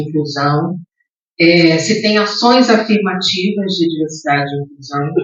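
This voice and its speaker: A woman speaks fairly slowly, somewhat breathy, at a fairly low pitch with ordinary variation. Audible room echo is present. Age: 60s. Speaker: diversity and inclusion leader, speaker. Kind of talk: lecture. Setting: theatre stage with audience.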